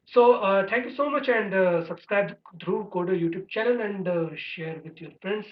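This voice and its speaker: The speaker talks in an Indian accent at a moderate pace. There are hardly any pauses. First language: Hindi. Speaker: programming tutor, channel owner. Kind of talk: tutorial course introduction. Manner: halting, many fillers.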